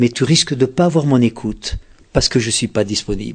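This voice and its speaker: Against a quiet background, a man talks at a moderate pace in a somewhat breathy, medium-pitched voice with ordinary pitch variation. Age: 70s. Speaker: author and relationship communication expert. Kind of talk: interview.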